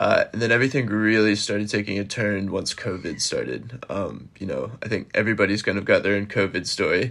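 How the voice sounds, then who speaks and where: A man with an American accent and a fairly low pitch talks at a fairly quick pace in an ordinary speaking voice. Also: fairly even intonation. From US. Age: 20s. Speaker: podcaster with bipolar disorder. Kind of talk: casual interview.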